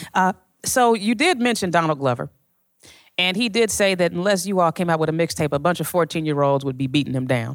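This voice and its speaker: An unremarkable speaking voice from a woman, fairly low in pitch, fairly quick, with lively intonation, in a very clean recording with a silent background. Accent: American. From Chicago. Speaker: music journalist interviewer. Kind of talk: onstage interview. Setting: stage with audience.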